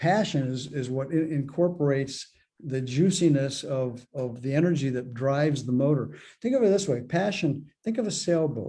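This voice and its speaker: Against a quiet background, a man speaks with a fairly high pitch, a dark, mellow tone, some breathiness and ordinary pitch variation. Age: 70s. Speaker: spiritual author and mentor. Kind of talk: interview. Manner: halting, frequent repetitions.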